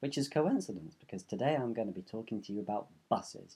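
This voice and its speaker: A man's dark, mellow voice with a London accent. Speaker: vlogger. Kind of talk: casual vlog monologue. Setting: bedroom. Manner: animated. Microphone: room echo.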